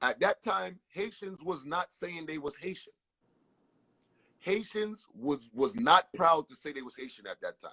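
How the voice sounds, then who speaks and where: With an American accent, a high-pitched man speaks at a fairly slow pace, his loudness swinging widely in a dry, close sound with no echo. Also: ordinary pitch variation. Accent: New York with Caribbean inflection. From Brooklyn, New York, Caribbean family. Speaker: entertainer. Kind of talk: casual interview storytelling. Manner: animated, repetitive stammering.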